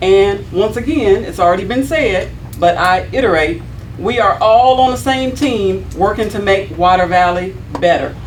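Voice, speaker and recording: A woman talks at a moderate pace with lively intonation, with noticeable background noise and audible room echo. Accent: American. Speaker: city board member (alderman). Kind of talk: prepared statement read at a public meeting. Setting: city board meeting. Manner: loud.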